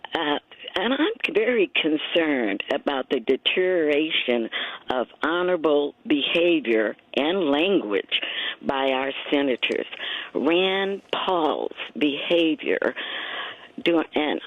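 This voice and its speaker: A woman speaks at a very slow pace in a very deep, low pitch, with long, frequent pauses and lively intonation. Her loudness stays very even over noticeable background noise. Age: 70s. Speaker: caller. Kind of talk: call-in comment. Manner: halting.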